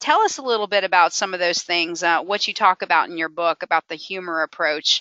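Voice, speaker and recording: At a fairly quick pace, a woman speaks with ordinary pitch variation in an ordinary speaking voice. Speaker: podcast host, motivational speaker. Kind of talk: podcast interview host.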